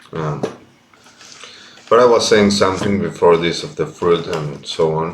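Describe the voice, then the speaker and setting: Room echo is audible as a man talks at a fairly slow speed. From Argentina. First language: Spanish. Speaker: vlogger. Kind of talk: casual monologue. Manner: halting.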